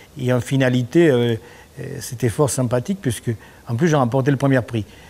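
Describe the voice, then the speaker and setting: With a dark, mellow tone, a man speaks at medium pitch and a moderate pace, using ordinary pitch variation. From Argentina, Buenos Aires. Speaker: painter. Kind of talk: interview. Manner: halting, many repetitions and fillers. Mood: relaxed, warm. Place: workshop.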